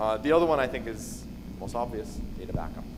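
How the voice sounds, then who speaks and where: A man talks at a very fast pace with lively intonation and a fairly high pitch. Audible room echo and noticeable background noise come through. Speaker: conference speaker on cybersecurity. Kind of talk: conference talk.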